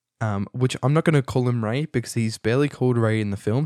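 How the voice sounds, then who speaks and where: In an Australian accent, a man speaks at a medium pitch with ordinary pitch variation. The sound is dry and close with no echo. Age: young. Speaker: podcast host, film student. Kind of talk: casual movie review monologue. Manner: animated; halting, many fillers.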